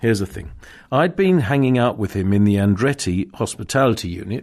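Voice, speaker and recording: Against a quiet background, the speaker talks at a fairly quick pace with ordinary pitch variation. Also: man. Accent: RP. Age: 60s. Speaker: motorsport journalist and podcast host. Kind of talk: casual chat. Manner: halting, many fillers.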